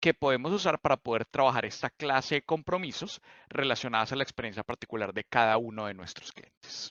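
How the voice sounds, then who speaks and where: A man with a Bogotá accent speaks at a fairly quick pace. His intonation is lively. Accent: Colombian, Bogotá. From Colombia, Bogotá. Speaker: cloud solutions architect. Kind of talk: technical presentation.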